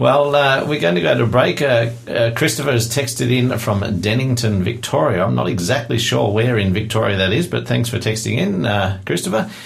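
Speaking with an Australian accent at a moderate pace, the voice keeps a very even loudness and ordinary pitch variation over noticeable background noise. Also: man, medium pitch for a man. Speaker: radio host. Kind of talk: radio interview. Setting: studio.

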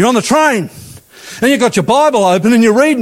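With an Australian accent, a man speaks at a very fast pace. His intonation is lively, and there is noticeable background noise. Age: 50s. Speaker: pastor. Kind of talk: sermon. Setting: church. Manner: animated.

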